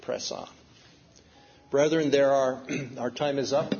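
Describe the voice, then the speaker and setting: A man speaks at a moderate pace with a fairly high pitch and fairly even intonation. The recording has audible room echo and noticeable background noise. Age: 60s. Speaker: preacher. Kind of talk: sermon.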